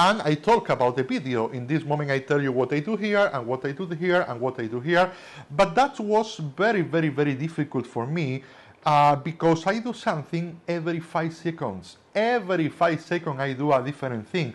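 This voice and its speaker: A man with a strong Spanish accent speaks fairly quickly at a fairly high pitch with lively intonation, over a quiet background. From Spain. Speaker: magician teaching tricks. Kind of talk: lecture.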